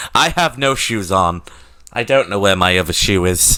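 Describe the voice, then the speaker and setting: A man with a British accent, fairly low in pitch, with lively intonation and a bright, sharp tone on a very clean recording with a silent background. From Britain. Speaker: streamer. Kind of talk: casual live stream chat. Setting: live stream with webcam. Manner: animated.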